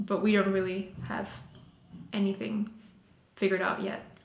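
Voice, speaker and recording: A woman with a German accent speaks amid audible room echo. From Austria. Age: 20s. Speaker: vlogger. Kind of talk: casual chat. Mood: relaxed, cheerful. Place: home room.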